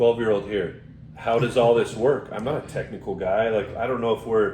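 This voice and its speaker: A man at medium pitch with an American accent, a fairly quick pace, ordinary pitch variation and noticeable background noise. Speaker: podcast co-host. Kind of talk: casual chat.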